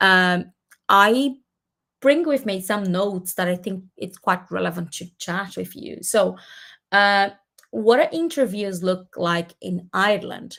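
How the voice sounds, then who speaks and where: In a Portuguese accent, a woman with a bright, sharp tone and medium pitch speaks at a fairly slow pace, with lively intonation and big swings in loudness. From Brazil. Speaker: community host. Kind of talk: webinar presentation. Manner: halting, many fillers.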